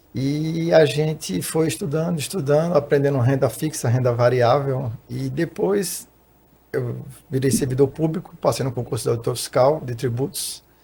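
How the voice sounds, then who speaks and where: A man speaks at a moderate pace with a fairly high pitch and ordinary pitch variation. His somewhat breathy voice carries a dark, mellow tone. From Recife, Pernambuco, northeast Brazil. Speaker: financial consultant and tax auditor. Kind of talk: podcast interview.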